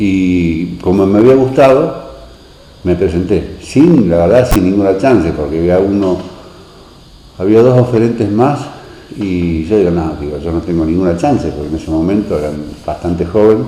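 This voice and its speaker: A man with a Rioplatense accent speaks at a moderate pace in a very deep, low voice. Noticeable background noise and audible room echo fill the recording. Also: lively intonation. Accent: Argentine Rioplatense Spanish. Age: 60s. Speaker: local resident, former beach resort concessionaire. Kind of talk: oral history interview. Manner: hesitant, many fillers.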